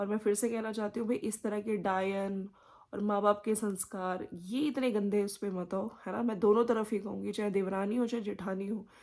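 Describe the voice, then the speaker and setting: Soft-spoken, a woman talks at a medium pitch and a moderate pace. She keeps a fairly even intonation and hardly pauses. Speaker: YouTube commentary vlogger. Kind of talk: casual commentary monologue. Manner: speaking softly.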